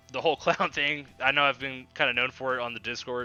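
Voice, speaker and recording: Music plays in the background as a man speaks with an American accent. His intonation is fairly even. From Texas, Dallas. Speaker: podcast host. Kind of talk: casual Q&A podcast. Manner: casual, many filler words.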